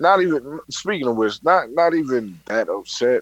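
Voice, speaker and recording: A man with a New York accent speaks at a fairly high pitch in a dry, close sound with no echo. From New York, Brooklyn. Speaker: podcast guest co-host. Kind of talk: casual chat.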